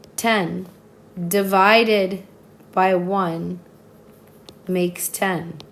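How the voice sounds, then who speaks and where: In a room with audible echo, a woman speaks at a very slow pace, monotone and flat, with long, frequent pauses. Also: medium pitch for a woman. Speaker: math teacher. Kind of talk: tutorial.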